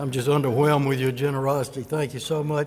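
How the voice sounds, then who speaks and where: Fairly high-pitched, a man talks in an Alabama accent. He keeps a fairly quick pace. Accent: Southern US (Alabama). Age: 70s. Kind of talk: personal testimony talk.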